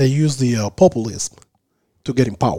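The voice, dark and mellow in tone with a Spanish accent, moves at a fairly slow pace in a dry, close recording with no echo. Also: man. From Cuba, Havana. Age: 30s. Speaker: Cuban immigrant guest. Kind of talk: casual interview. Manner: halting.

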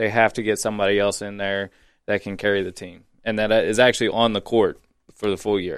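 A man speaks at a fairly quick pace in a fairly low, monotone voice with flat intonation, on a very clean recording with a silent background. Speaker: guest sports commentator. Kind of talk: casual sports talk.

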